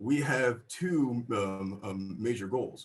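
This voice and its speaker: The man's voice sounds somewhat breathy. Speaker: college student presenter. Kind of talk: class presentation. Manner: halting, many fillers.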